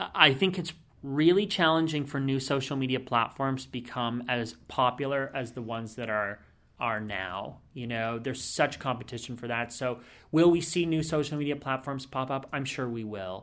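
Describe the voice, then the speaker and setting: An unremarkable speaking voice from a man, medium pitch, ordinary pitch variation and moderate pace, in a very clean recording with a silent background. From Canada. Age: 20s. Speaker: brand strategist. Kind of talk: interview.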